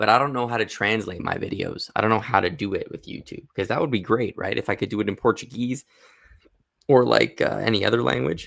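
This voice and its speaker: A man talks at a very fast pace with vocal fry, a medium pitch and ordinary pitch variation. The recording is very clean, with a silent background. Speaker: animation rigging streamer. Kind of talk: live stream tutorial. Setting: live stream with camera. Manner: casual, thinking aloud.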